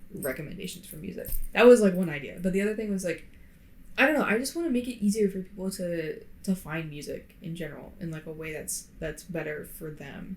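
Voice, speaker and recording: A woman speaks at a medium pitch with lively intonation and a somewhat breathy quality. Her loudness swings widely. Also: fairly quick pace. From Florida. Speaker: podcast co-host. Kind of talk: casual chat. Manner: hesitant, many fillers. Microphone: poor podcast mic.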